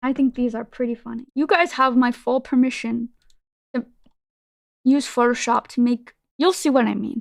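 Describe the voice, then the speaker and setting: A woman's high voice with a non-native accent, broken by long, frequent pauses, in a dry, close sound with no echo. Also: moderate pace. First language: not English. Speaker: vtuber streamer. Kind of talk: casual live-stream chat. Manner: animated.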